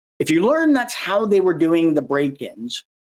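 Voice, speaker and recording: A man talks at a fairly quick pace. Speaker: security awareness advocate and presenter. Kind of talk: conference presentation. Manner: fast.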